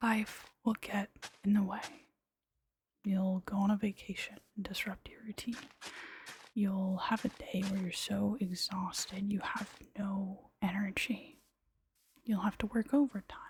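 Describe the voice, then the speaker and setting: A woman whispers in a soft-spoken voice at a fairly slow pace. She leaves long, frequent pauses. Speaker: ASMR creator. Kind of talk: ASMR soft-spoken gaming commentary. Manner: soft-spoken, whispered.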